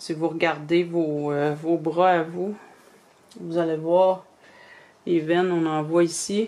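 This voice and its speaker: A woman with a Quebec accent speaks at a very slow pace with long, frequent pauses. Her fairly low voice has a dark, mellow tone and monotone, flat intonation. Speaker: reborn doll artist. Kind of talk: tutorial. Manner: casual, hesitant with many fillers.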